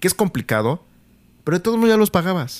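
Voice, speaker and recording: A man speaks with lively intonation in a dry, close recording that has no echo. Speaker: podcast host. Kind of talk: casual chat. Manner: slangy, colloquial speech.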